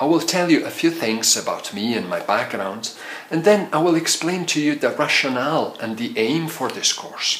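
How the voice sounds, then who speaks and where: Noticeable background noise and audible room echo surround a man speaking at a moderate pace with lively intonation. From Italy. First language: Italian. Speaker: medical doctor and lecturer. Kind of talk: lecture. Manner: formal.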